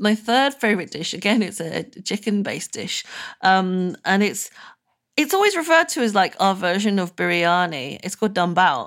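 Speaking at a medium pitch, a woman has a British accent. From UK, Burmese family. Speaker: food writer. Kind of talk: interview.

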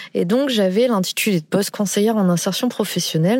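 A plain, everyday voice moves at a moderate pace. Its intonation is lively. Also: woman. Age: 30s. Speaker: job seeker in career transition. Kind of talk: testimony.

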